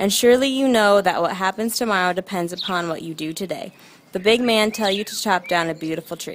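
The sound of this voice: This unforced reading voice shows the usual amount of rise and fall in pitch.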